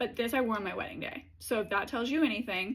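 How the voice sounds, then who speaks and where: Somewhat breathy speech rushes at a very fast pace in a very clean recording with a silent background. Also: woman. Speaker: beauty content creator. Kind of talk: product review monologue. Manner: animated.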